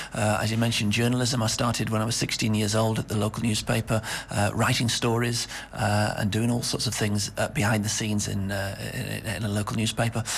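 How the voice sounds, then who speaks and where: With noticeable background noise, a man with a northern English accent speaks at a fairly quick pace in a fairly low, monotone, flat voice of very even loudness. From northwest England. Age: 50s. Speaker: radio executive. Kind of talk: radio interview. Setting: studio.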